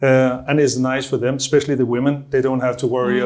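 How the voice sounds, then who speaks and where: A man with a medium-pitched voice talks at a very fast pace. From Denmark. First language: Danish. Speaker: online marketing business owner. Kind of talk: interview answer.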